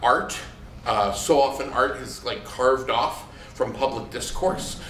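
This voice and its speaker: There is audible room echo and noticeable background noise as a man with a fairly high pitch speaks in an American accent. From Maine, US. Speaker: monologist. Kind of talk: post-show talkback. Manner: halting, many repeats.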